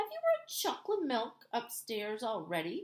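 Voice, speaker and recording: In a put-on character voice, a woman speaks at a high pitch and a moderate pace with very wide pitch swings. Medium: read story.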